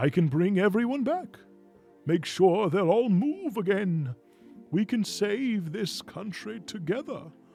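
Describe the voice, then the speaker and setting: A man uses a put-on character voice, high-pitched with lively intonation. He speaks at a fairly slow pace over faint music in the background. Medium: game stream. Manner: smooth, menacing.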